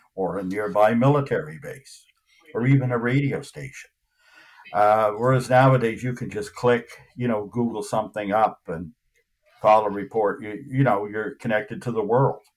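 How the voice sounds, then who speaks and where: Here is a man with an unremarkable speaking voice, medium pitch and ordinary pitch variation. He keeps a moderate pace, and his loudness swings widely. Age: 60s. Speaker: UFO investigator. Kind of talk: interview. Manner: conversational, many fillers.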